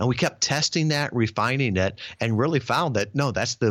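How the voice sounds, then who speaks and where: Over a very clean recording with a silent background, a man with a plain, everyday voice talks at a moderate pace with ordinary pitch variation. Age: 50s. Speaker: podcast booking business founder. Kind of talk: interview.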